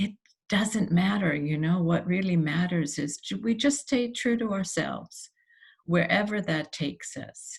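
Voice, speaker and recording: A woman's voice comes through somewhat breathy. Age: 70s. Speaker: human design practitioner. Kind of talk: personal monologue to camera. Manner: halting, many fillers.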